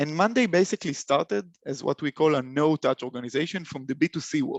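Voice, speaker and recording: This man has a fairly high pitch and a non-native accent, with ordinary pitch variation. He speaks at a moderate pace, and the sound is dry and close with no echo. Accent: foreign. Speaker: software company solutions consultant. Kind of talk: webinar presentation. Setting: online webinar. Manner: halting, many fillers and repeats.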